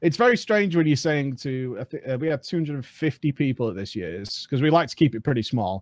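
A man with a British accent talks at a moderate pace with hardly any pauses, his pitch fairly high. His voice makes very wide pitch swings, and the sound is dry and close with no echo. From UK. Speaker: gaming content creator. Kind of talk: casual chat.

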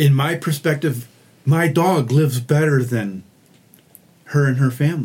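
A man's fairly high voice, somewhat breathy, at a fairly slow pace with lively intonation. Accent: American. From Michigan, US (Oxford, near Detroit). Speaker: mission volunteer, crew leader. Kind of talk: casual interview. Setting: makeshift podcast booth in a hotel.

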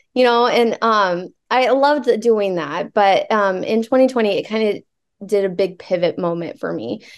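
A woman's fairly high voice with a Midwestern American accent, moderate pace and ordinary pitch variation against a quiet background. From Nebraska (Alliance). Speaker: fitness coach. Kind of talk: casual interview chat.

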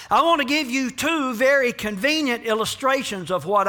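The voice is raised and projected, with lively intonation. It moves at a moderate pace. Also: man. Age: 60s. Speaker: pastor. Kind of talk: sermon.

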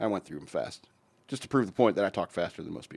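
The pace is very fast for this male speaker. He uses ordinary pitch variation. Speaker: radio host. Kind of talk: casual banter on an irreverent radio show. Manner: fast talker.

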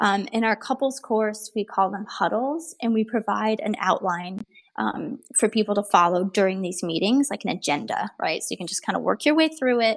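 In a normal speaking voice, a woman with a fairly high pitch talks at a moderate pace with lively intonation and hardly any pauses. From Ohio, US Midwest. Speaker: relationship psychologist. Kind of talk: interview.

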